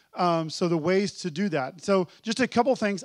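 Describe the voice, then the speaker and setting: Against a quiet background, a man speaks in a high pitch with lively intonation. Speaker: church workshop presenter. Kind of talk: workshop presentation. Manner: fast.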